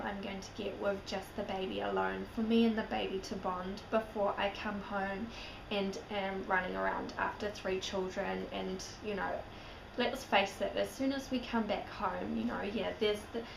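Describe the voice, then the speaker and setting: Noticeable background noise and audible room echo accompany a woman's speech. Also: moderate pace. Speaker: vlogger. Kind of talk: casual vlog.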